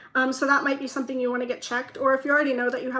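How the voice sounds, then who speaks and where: A woman speaks in a raised, projected voice that is high in pitch, keeping her intonation fairly even. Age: 20s. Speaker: tarot reader. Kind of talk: tarot reading. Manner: rambling, talks in circles; trips on words.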